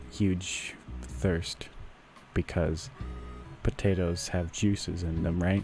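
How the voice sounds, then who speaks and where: A man with a very deep, low pitch speaks at a very slow pace while music plays in the background. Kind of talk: comedy podcast monologue. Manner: rambling, improvised.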